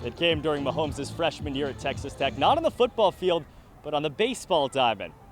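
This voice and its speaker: With a plain, everyday voice, a man talks at a fairly quick pace, his fairly high pitch carrying lively intonation. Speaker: sports broadcaster. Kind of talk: TV news report.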